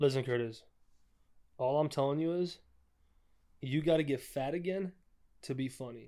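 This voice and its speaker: A man with a fairly high pitch and a dark, mellow tone speaks at a moderate pace. He shows ordinary pitch variation and leaves long, frequent pauses. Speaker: guest. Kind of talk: casual chat. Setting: apartment. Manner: soft-spoken.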